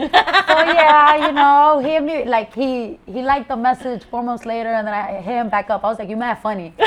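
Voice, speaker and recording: An American-accented woman, high-pitched, at a moderate pace with lively intonation. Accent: Spanish Bronx. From Bronx, New York. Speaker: rapper, content creator. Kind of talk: interview answer. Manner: bold, unfiltered.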